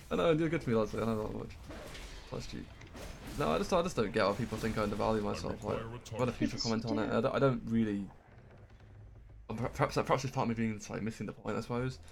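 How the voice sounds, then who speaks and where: A man's medium-pitched voice with vocal fry, a very fast pace broken by long, frequent pauses, and ordinary pitch variation. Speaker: gaming streamer. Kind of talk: casual chat while gaming.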